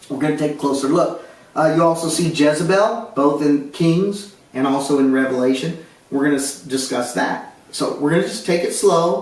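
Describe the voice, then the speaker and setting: The speech moves at a moderate pace. Noticeable background noise and audible room echo come through. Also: man, fairly high pitch for a man, ordinary pitch variation. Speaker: Bible teacher. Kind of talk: Bible study lecture.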